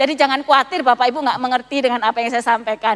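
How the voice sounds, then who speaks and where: Ordinary pitch variation marks a woman's high voice. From Malang, East Java, Indonesia. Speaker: pastor. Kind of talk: sermon. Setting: church service, also streamed to homes.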